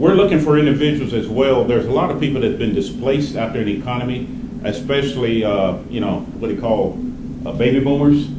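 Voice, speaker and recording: A man with an American accent talks at a very fast pace, with noticeable background noise and audible room echo. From West Virginia. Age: 60s. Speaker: financial advisor, business founder. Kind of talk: business presentation to audience. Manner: animated.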